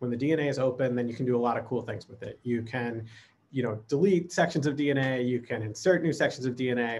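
With an American accent, a man at medium pitch speaks fairly quickly in a somewhat breathy voice with ordinary pitch variation. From US Midwest. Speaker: lab automation director. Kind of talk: conference presentation. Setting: remote recording. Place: home room.

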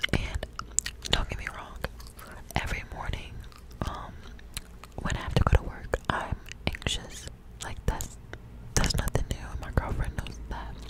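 Whispering at a moderate pace, the speaker leaves long, frequent pauses. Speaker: ASMR creator. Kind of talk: casual vlog chat. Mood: reflective, talking about anxiety. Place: home room. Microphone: studio mic.

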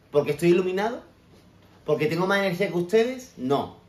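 In a room with audible echo and light background noise, a man speaks at a high pitch in an animated tone. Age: 30s. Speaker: personal development coach; motivational vlogger. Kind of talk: motivational talk. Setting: home kitchen. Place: kitchen. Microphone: phone near.

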